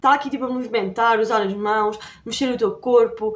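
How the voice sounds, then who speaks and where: Fairly high-pitched female speech at a fairly quick pace, with music in the background. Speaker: YouTuber. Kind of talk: tutorial. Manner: fast; casual.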